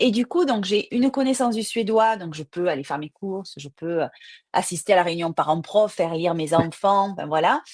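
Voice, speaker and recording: A woman speaks with a Marseille accent at a moderate pace and a medium pitch. Her intonation is lively and her loudness swings widely. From southern France, Marseille. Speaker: crime novelist. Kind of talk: interview. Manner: hesitant with fillers.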